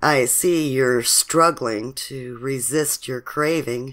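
Using a put-on character voice, a woman speaks slowly at an extremely low pitch, with ordinary pitch variation and a fairly bright tone.

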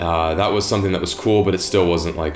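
Clear music plays in the background, and the room gives off an audible echo. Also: man. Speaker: fishing video creator. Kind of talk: interview answer. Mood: calm, reflective. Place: home room.

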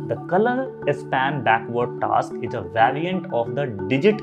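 With clear music in the background, a man speaks at a fairly slow pace. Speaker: educator. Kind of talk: lecture. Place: studio.

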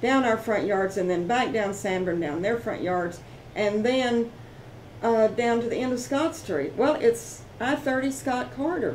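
With a Texan accent and lively intonation, a woman speaks at a fairly slow pace and fairly high pitch over light background noise. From Fort Worth, Texas. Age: 70s. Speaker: homeowner. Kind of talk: interview answer. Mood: aggrieved, earnest.

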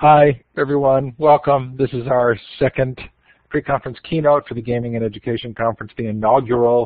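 A man is speaking. His tone is enthusiastic. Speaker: conference organizer and moderator. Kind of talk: webinar hosting. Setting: online webinar.

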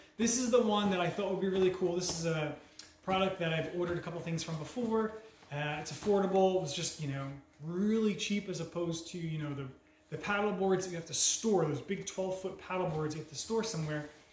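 A man at a high pitch, fairly quick, with ordinary pitch variation, audible room echo and light background noise. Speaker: product reviewer. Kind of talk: casual product review. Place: home room.

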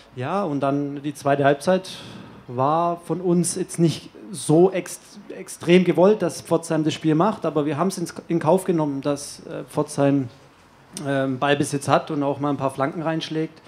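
A man's fairly high-pitched voice at a fairly slow pace, with fairly even intonation. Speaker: player-coach of football team. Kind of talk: press conference. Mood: calm, content. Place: hall. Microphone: podium.

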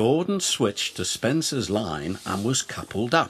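This clip features an unforced reading voice.

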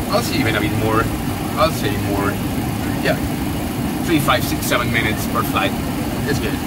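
A man talks over loud background noise, leaving long, frequent pauses. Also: moderate pace. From Spain. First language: Spanish. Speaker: airline pilot. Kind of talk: interview. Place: plane. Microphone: camera far.

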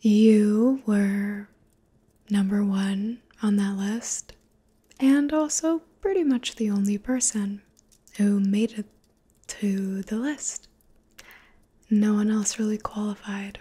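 A soft-spoken, somewhat breathy woman whispering at a very slow pace, with long, frequent pauses. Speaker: roleplay host. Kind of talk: intimate roleplay talk to viewer. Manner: soft, intimate near-whisper. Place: home room. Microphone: phone near.

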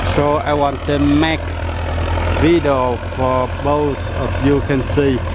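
With a Vietnamese accent, the speaker talks at a very slow pace over loud background noise. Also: dry sound with no echo. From Vietnam, Tay Ninh province. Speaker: vlogger. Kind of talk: vlog commentary while filming. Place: open country. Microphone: phone near.

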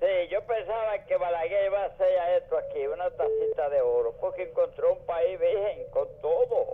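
A man talks at a moderate pace with hardly any pauses. Noticeable background noise runs behind him. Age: 80s+. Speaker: caller. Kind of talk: call-in talk.

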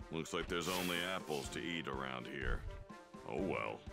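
Faint music plays behind a man doing a put-on character voice at an extremely low pitch with vocal fry. His tone is bright and sharp, with ordinary pitch variation and a moderate pace.

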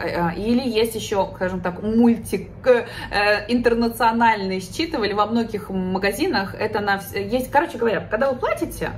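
Light background noise sits behind the voice. A woman talks at a moderate pace. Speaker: vlogger living abroad. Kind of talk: casual vlog chat. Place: home room.

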